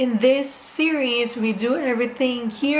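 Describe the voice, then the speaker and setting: A woman speaks at a fairly slow pace amid audible room echo and noticeable background noise. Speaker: lifestyle vlogger. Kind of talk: casual DIY vlog.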